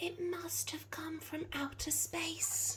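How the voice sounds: A slow, whispering, put-on character voice. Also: woman.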